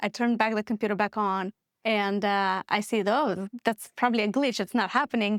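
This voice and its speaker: With a Moldovan accent, a woman talks at a fairly quick pace, recorded very cleanly against a silent background with a dry, close sound and no echo. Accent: Moldovan accent, noticeable. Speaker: business founder. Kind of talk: podcast interview.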